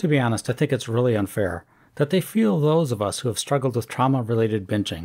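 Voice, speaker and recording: On a very clean recording with a silent background, a man sounds somewhat breathy, talking fairly quickly with lively intonation. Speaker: YouTube commentator. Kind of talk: scripted commentary reading social media posts with sarcastic remarks.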